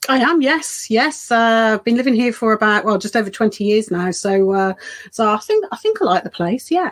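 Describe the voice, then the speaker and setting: With a slight Birmingham accent, a woman speaks at a fairly quick pace in a fairly high pitch, her intonation lively and her loudness very even. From English Midlands, Birmingham. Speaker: children's author. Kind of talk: casual interview.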